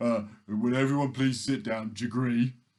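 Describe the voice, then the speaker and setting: Using a put-on character voice, a man speaks at a medium pitch. His delivery is a flat monotone at a moderate pace. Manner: commanding, with a catchphrase at the end.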